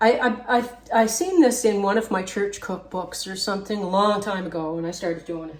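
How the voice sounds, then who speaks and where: A woman talks at a fairly quick pace with a medium pitch, ordinary pitch variation and big swings in loudness. Noticeable background noise and audible room echo are present. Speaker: home cooking channel host. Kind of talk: cooking tutorial. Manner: halting.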